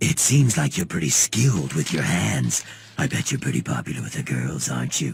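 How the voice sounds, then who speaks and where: A cartoonish character voice rattles along at a fairly quick pace. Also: man, very deep, low pitch for a man. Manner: casual, laid-back.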